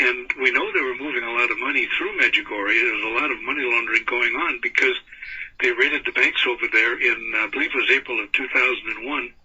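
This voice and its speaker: The pace is very fast. Noticeable background noise sits behind this man's voice. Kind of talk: radio interview.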